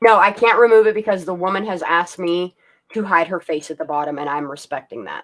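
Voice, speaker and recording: Very fast and medium-pitched, a woman's voice shows ordinary pitch variation and big swings in loudness. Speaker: live stream host. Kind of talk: casual chat. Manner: clear.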